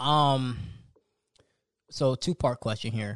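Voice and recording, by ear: A man's slow speech at a medium pitch, with ordinary pitch variation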